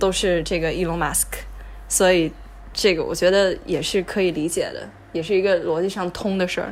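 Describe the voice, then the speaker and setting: Her voice fairly low and showing vocal fry, a woman talks at a fairly quick pace with monotone, flat intonation. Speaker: university student and venture capital intern. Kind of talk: casual interview chat.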